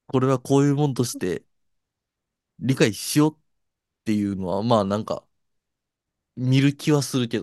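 A man with a medium pitch speaks at a moderate pace, with ordinary pitch variation, big swings in loudness and long, frequent pauses. The sound is dry and close with no echo, over a quiet background. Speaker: podcast co-host, works at clubs and live houses. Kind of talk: casual chat. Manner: one fixed way of talking.

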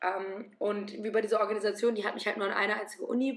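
A woman speaks at a medium pitch. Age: 20s. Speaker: medical student. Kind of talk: casual interview. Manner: animated.

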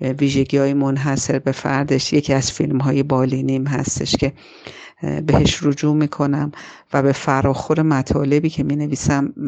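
Over noticeable background noise, a woman with a very deep, low pitch speaks at a moderate pace in a monotone, flat intonation and very even loudness. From Iran, Tehran. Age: 40s. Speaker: film critic and screenwriter. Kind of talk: personal narrative. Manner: halting.

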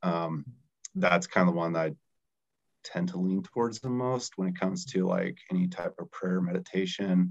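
Music playing behind a man speaking at a moderate pace. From Colorado, US. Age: 30s. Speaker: startup founder, recovering alcoholic. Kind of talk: casual chat.

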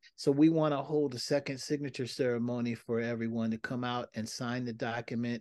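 A man with an American accent and a plain, everyday voice speaks at a fairly quick pace, medium in pitch with fairly even intonation, against a quiet background. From Seattle, US Pacific Northwest. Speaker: community activist and urban farmer. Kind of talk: casual interview.

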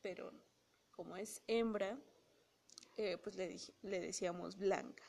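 Speaking at a very slow pace, a woman keeps her medium-pitched voice in fairly even intonation. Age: 20s. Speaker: podcast host. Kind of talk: casual monologue. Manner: halting.

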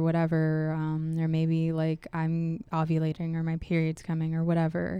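On a very clean recording with a silent background, a woman with an American accent speaks at a moderate pace in a dark, mellow tone. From US Northeast, Pittsburgh. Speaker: former nursing student sharing pregnancy loss. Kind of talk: testimony. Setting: studio.

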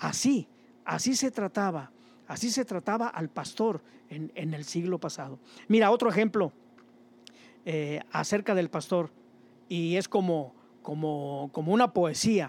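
Speech comes at a fairly slow pace with long, frequent pauses. The recording is very clean, with a silent background. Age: 60s. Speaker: preacher. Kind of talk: sermon. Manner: halting.

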